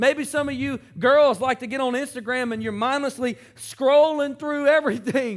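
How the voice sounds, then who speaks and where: Over a very clean recording with a silent background, a man speaks in an extremely high pitch with an animated tone, ordinary pitch variation and a moderate pace. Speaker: pastor. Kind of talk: sermon. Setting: church. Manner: animated, rousing preacher in full flow, interactive with crowd; asks call-and-response questions, urging the congregation to raise Bibles and say amen.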